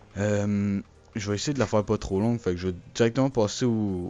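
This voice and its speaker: With fairly even intonation, a man of fairly low pitch speaks at a fairly quick pace. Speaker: gaming YouTuber. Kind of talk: channel announcement monologue. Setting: recording alone over a still image. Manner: hesitant, many fillers.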